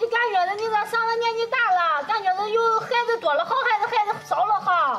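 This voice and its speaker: Over faint music in the background, a woman with an extremely high pitch uses a raised, projected voice at a fairly quick pace, with ordinary pitch variation and hardly any pauses. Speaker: rural life vlogger. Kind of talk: casual interview questions. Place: open country.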